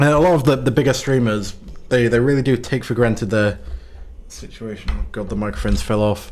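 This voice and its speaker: A man speaks quietly with vocal fry. He keeps a fairly quick pace. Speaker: gaming streamer. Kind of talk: casual livestream chat. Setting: home livestream. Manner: hesitant, many fillers.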